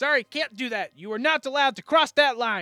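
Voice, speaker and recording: Faint music plays in the background as a man in a put-on character voice speaks at a fairly quick pace and an extremely high pitch. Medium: actual play. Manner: stubborn, literal-minded.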